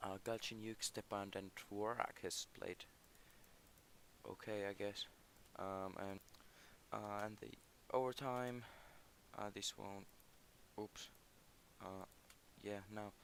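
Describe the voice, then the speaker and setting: A man with a Finnish accent speaks very slowly at a fairly low pitch, leaving long, frequent pauses. His intonation is flat and monotone. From Finland. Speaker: gaming YouTuber. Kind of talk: gameplay commentary. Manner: halting.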